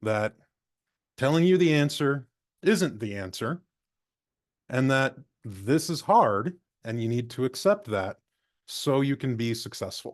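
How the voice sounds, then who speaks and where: Against a quiet background, a man at medium pitch speaks with lively intonation and long, frequent pauses. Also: fairly slow pace. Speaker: librarian, former physics teacher. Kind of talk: conference presentation. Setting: video call.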